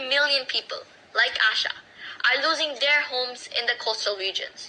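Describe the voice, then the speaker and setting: A woman speaks in a raised, projected voice at a high pitch. Noticeable background noise can be heard. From Bangladesh. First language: Bangla. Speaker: youth climate activist. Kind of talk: speech. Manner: impassioned.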